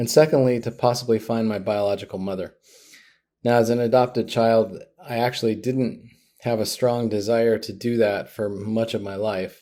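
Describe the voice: A man speaks at a moderate pace with a fairly low pitch. His tone is dark and mellow, his intonation fairly even.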